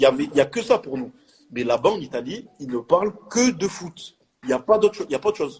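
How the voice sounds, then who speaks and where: A man talks at a very fast pace. His fairly high voice makes very wide pitch swings. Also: big swings in loudness. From France, Marseille. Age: 20s. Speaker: professional footballer. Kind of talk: casual interview chat.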